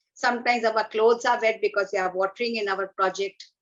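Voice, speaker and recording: A woman with an Indian accent, fairly high in pitch and fairly quick in pace. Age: 60s. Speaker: environmental activist. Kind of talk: talk at an online event. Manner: animated.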